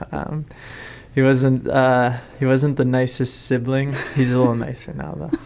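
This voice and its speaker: With a Chicago accent, a man speaks at a moderate pace and medium pitch, his intonation fairly even but his loudness swinging widely. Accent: Chicago American English. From Chicago, Lincoln Park. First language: French. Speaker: musician. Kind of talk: interview. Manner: hesitant, many fillers.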